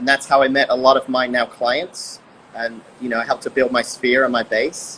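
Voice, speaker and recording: A man speaks at a medium pitch and a fairly quick pace. His intonation stays monotone and flat. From England. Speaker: restaurant owner and realtor. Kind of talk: interview. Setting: live stream.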